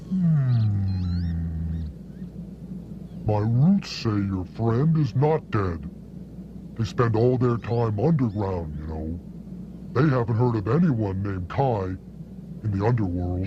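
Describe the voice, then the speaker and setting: A man does a put-on character voice at a fairly low pitch with clear background noise behind him. He speaks at a fairly slow pace with long, frequent pauses. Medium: short film. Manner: wry, avuncular.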